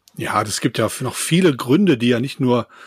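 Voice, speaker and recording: Somewhat breathy male voice in a dry, close sound with no echo. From Rhineland, Germany. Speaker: camping blogger. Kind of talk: casual chat.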